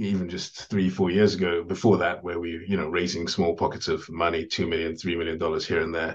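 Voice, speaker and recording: This man speaks at a fairly quick pace with ordinary pitch variation, against a quiet background. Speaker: podcast guest. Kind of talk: interview answer. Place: home room. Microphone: video call.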